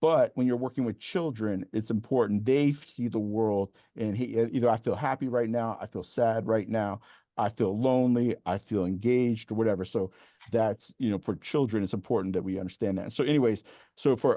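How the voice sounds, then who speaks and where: In an American accent, a man speaks with an animated tone at a medium pitch and ordinary pitch variation. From Maryland, between Baltimore and DC. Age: 50s. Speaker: motivational speaker and program founder. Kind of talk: keynote talk to educators. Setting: online event presentation. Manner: fast.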